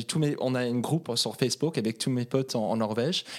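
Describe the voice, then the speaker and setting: On a very clean recording with a silent background, a man of medium pitch talks at a moderate pace with ordinary pitch variation. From Norway, Oslo. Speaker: guest. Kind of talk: casual chat. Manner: halting.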